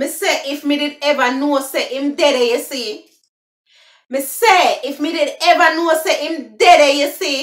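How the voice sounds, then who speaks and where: A woman with a Jamaican accent, high-pitched and fairly slow, with audible room echo and a quiet background. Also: ordinary pitch variation. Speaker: language explainer. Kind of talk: casual talk to camera. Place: home room. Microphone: phone near.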